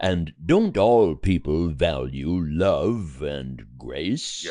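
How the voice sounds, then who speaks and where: A man drawls very slowly in a put-on character voice pitched very deep and low. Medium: audio drama. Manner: measured, respectful, earnest.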